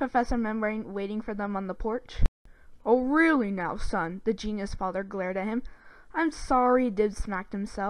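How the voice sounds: The intonation is lively. This is a natural reading voice.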